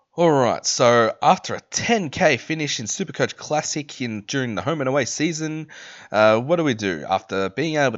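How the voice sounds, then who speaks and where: Speaking at a moderate pace with an Australian accent, a man lets his pitch swing very widely. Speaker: fantasy football content creator. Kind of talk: casual commentary video.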